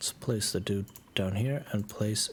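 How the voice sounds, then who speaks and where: With an American accent, a man talks in a somewhat breathy voice. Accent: very American accent in English. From Germany. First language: German. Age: 30s. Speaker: video game streamer. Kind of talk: casual live-stream gameplay chat. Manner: hesitant, many fillers and repeats.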